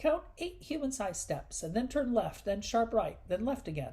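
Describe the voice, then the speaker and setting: A female-sounding, fairly high put-on character voice moves at a moderate pace. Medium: read story.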